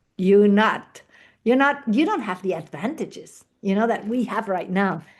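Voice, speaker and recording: Here is a woman with a plain, everyday voice, fairly high in pitch, speaking at a moderate pace with lively intonation. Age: 60s. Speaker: network marketing leader. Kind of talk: guest talk in online team meeting.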